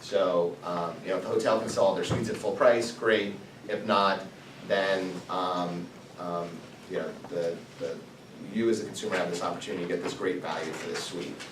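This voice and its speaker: The recording carries audible room echo. Noticeable background noise is also present. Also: man. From US Midwest. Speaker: entrepreneur, guest speaker. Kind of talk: talk to students. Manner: fast.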